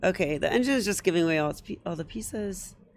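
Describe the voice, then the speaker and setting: A woman speaks in a medium pitch with vocal fry. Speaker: chess youtuber. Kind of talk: game analysis commentary. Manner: casual, hesitant with fillers.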